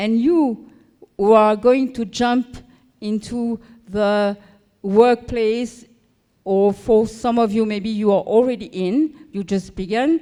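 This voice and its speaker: Speaking very slowly, a woman uses a fairly high pitch and a dark, mellow tone with ordinary pitch variation. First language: neither English nor French. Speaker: conference speaker. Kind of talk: conference talk. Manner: halting, with fillers.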